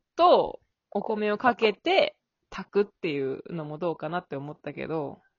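At a fairly slow pace, the voice moves through big swings in loudness. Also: woman. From Kyushu, Japan. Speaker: podcast host. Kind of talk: casual chat. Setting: remote recording.

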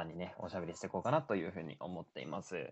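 Speaking at a very fast pace, a man has a very deep, low pitch. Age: 20s. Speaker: solo podcast host. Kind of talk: casual solo talk radio.

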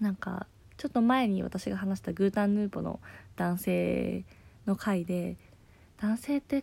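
Moderately paced speech from a woman, very cleanly recorded against a silent background. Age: 20s. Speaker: podcast host, office worker. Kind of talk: casual solo talk.

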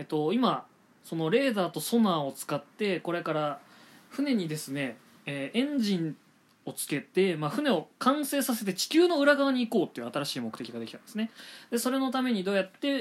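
Talking at a fairly quick pace, a man with a high voice swings his pitch very widely. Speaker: manga review podcaster. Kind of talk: solo podcast monologue. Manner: fast; polite formal.

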